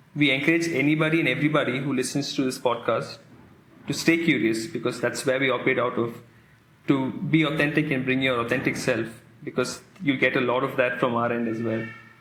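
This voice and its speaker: The speech is very fast. Audible echo from the room surrounds it. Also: man, medium pitch for a man, fairly even intonation. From India. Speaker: podcast host, coach. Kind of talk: podcast trailer, scripted chat.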